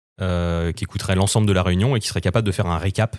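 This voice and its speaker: Speech comes at a very fast pace. The intonation stays fairly even. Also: man, very clean recording, silent background. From Vendée, France (Les Herbiers). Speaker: communications agency manager, former radio co-host. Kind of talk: casual chat.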